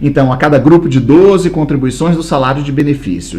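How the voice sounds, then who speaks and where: Over noticeable background noise and audible room echo, a man talks at a fairly quick pace in an animated tone. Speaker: law course teacher. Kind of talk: lecture.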